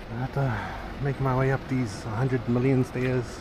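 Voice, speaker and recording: A man speaks at a medium pitch in a monotone, flat intonation. Noticeable background noise runs underneath. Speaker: travel vlogger. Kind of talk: casual vlog narration. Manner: hesitant, filler-heavy.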